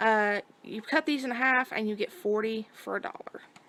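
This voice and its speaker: A woman is speaking. Her tone is bright and sharp. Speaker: YouTube haul vlogger. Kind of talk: shopping haul video. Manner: fast.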